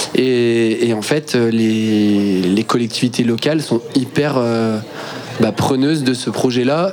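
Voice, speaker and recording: A man speaks at a medium pitch with ordinary pitch variation. Noticeable background noise runs behind him. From Brittany, France (Quimperlé). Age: 30s. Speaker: water sports entrepreneur. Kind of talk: casual radio interview. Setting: live broadcast from a festival.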